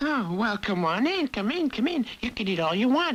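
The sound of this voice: A cartoonish character voice, female-sounding, at a fairly high pitch with very wide pitch swings and a moderate pace.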